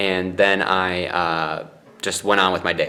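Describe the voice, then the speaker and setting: A man speaks over noticeable background noise. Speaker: vlogger. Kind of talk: casual vlog. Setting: in a mosquito tent on bed. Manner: loud.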